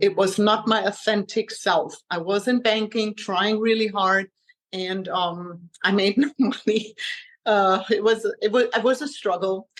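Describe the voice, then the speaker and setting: The speaker has a German accent and fairly even intonation. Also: woman. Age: 40s. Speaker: health coach. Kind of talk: interview.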